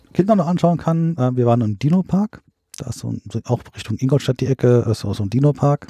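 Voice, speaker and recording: A man's dark, mellow, somewhat breathy voice with very wide pitch swings, in a dry, close sound without echo. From central Germany (Hesse, Bad Hersfeld). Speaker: camper. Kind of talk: casual chat. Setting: in a caravan.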